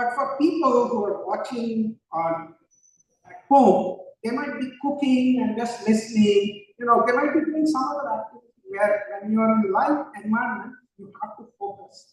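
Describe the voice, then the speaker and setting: Extremely high in pitch, a man's voice moves at a moderate pace with ordinary pitch variation. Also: big swings in loudness. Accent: Indian. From India (born in Ooty, grew up across India). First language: Konkani. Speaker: panelist, nonprofit executive director. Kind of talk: panel discussion.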